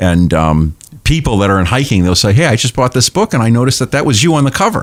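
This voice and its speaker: A man with a New England accent speaks very fast at a medium pitch, his loudness very even while his pitch swings very widely. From New Hampshire seacoast, Portsmouth. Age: 60s. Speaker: pastor and humorist author. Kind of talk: casual chat.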